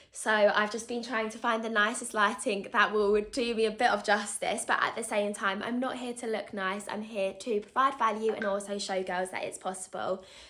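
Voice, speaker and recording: With hardly any pauses, a woman speaks at a moderate pace, with a fairly high pitch and fairly even intonation, over noticeable background noise. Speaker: vlogger. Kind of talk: casual vlog talk to camera. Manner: chatty, continuous.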